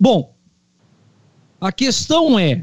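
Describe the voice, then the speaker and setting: Recorded with a dry, close sound and no echo, a man speaks very slowly. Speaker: lawyer, panelist. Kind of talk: casual political discussion. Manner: formal.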